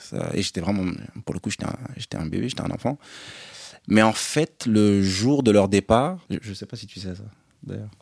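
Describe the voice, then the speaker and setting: A man's fairly low voice at a moderate pace, with ordinary pitch variation, big swings in loudness, long and frequent pauses, and a dry, close sound with no echo. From France, Paris area, partly raised in Côte d'Ivoire. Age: 30s. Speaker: podcast guest, elder brother. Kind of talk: casual chat.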